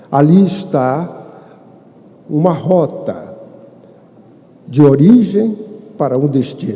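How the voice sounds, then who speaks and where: Amid noticeable background noise and audible room echo, a man with a fairly high pitch speaks with lively intonation. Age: 70s. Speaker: spiritist lecturer. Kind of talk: lecture. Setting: stage with audience. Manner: formal.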